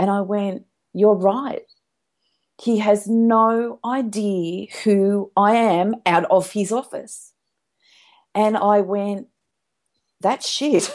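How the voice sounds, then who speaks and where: Against a quiet background, a woman with an Australian accent speaks very slowly at a medium pitch, with fairly even intonation and long, frequent pauses. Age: 60s. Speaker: hypnotherapist. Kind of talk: interview.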